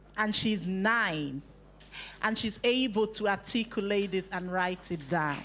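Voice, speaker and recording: A woman with a Nigerian accent speaks with ordinary pitch variation. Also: medium pitch for a woman, fairly slow pace. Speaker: youth workshop facilitator. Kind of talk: workshop talk to youth group.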